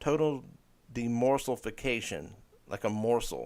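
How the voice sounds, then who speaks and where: A man talks in a plain, everyday voice, his medium pitch rising and falling in an ordinary way, captured on a very clean recording where the background is silent. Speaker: livestream podcast host. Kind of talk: casual livestream chat.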